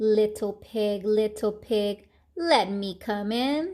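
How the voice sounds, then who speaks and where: Putting on a character voice, a woman pitches it fairly high. She speaks at a very slow pace. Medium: read story. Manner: sly, coaxing.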